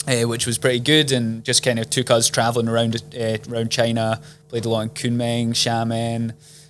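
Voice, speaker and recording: Here a man speaks in a Scottish accent at a medium pitch. His delivery is a monotone with flat intonation at a moderate pace. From Scotland, Edinburgh. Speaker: property investment strategist. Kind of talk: casual interview. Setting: sitting in person with host.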